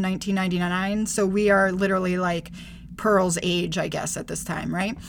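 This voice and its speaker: Audible room echo around a woman's medium-pitched voice, its intonation fairly even. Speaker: podcast co-host. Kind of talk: casual chat.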